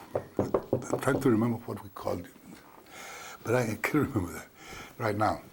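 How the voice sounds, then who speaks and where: Speaking at a moderate pace with an American accent, a man of medium pitch takes long, frequent pauses, his loudness swinging widely over noticeable background noise. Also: ordinary pitch variation. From South Texas (Kingsville). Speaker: war veteran. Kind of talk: oral history interview. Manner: halting, with repetitions.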